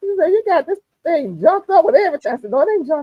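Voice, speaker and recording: A woman talks in an animated tone. Her pace is very fast. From US South, Atlanta, Georgia. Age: 70s. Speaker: gardening livestream host. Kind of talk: casual chat.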